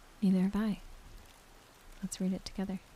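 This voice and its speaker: Soft-spoken and somewhat breathy, a woman speaks. Her tone is dark and mellow. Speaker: ASMR storyteller. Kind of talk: intimate talk to listener. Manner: natural cadence, soft, relaxing.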